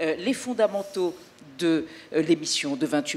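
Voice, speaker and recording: A woman talks with lively intonation at a fairly slow pace. Her pitch is fairly low. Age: 60s. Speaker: TV presenter. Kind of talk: press conference presentation. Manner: animated.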